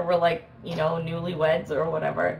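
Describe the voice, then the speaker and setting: A woman is speaking. Faint music plays in the background. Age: 30s. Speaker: live streamer. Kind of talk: casual chat. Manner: animated. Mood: amused, laughing at times. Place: home room.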